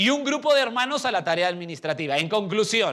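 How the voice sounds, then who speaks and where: A bright, sharp voice with very wide pitch swings comes through in a very clean recording with a silent background. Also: man. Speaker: pastor. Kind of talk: sermon.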